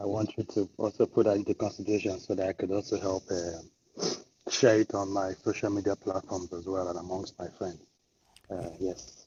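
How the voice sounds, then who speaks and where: Speaking at a fairly quick pace, a man with a fairly low pitch sounds somewhat breathy, his intonation monotone and flat. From Nigeria (Igbo). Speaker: podcast participant. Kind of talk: casual discussion.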